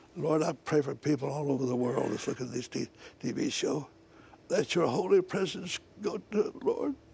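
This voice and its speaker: Clear background noise behind a man talking at a middling speed. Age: 80s+. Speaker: evangelist and former businessman. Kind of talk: prayer. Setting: TV studio.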